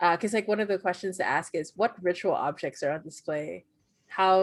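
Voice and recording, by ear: Over a quiet background, someone is reading aloud in a natural voice with ordinary pitch variation.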